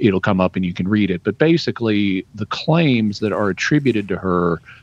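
Here a man with a Southern US accent speaks at a moderate pace in a medium pitch. There is no echo, just a dry sound. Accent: Southern US, drops final g. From Arkansas. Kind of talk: radio call-in answer. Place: home room. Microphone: studio mic.

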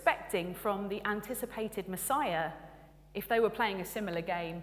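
With ordinary pitch variation, the clip offers a natural reading voice.

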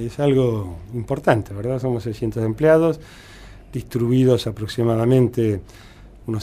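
This man's voice has a dark, mellow tone and is somewhat breathy. He speaks at medium pitch with ordinary pitch variation. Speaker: hospital director and surgeon. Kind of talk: interview.

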